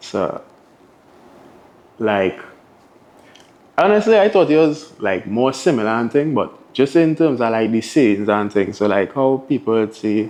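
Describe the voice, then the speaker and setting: A man's medium-pitched voice in a Trinidadian accent, fairly slow and lively in intonation, with long, frequent pauses. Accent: Trinidad and Tobago English. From Tobago. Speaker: DJ. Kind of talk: interview answer. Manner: casual.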